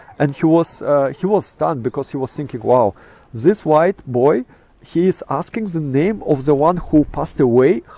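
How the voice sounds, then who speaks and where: With a Russian accent and a dark, mellow tone, a man speaks at a moderate pace. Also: fairly high pitch for a man. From Kazakhstan. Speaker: astrophotographer. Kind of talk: interview. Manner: halting, many fillers.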